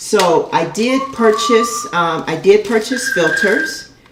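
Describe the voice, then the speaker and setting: Female speech in a room with audible echo, clearly audible noise behind it. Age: 60s. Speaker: elementary school teacher and gardening youtuber. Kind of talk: tutorial. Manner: casual, with frequent filler words.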